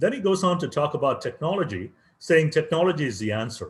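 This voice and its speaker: A man talks at a very fast pace in a fairly high pitch. His voice is somewhat breathy, with very wide pitch swings. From India, Chennai. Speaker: professor. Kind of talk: invited talk.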